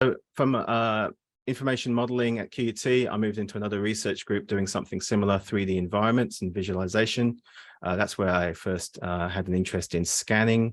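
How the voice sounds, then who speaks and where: A man with a slight English accent talks at a very fast pace over a quiet background. His fairly low pitch has fairly even intonation. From England, Surrey. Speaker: postdoctoral researcher. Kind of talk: academic seminar presentation. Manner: hesitant, many fillers.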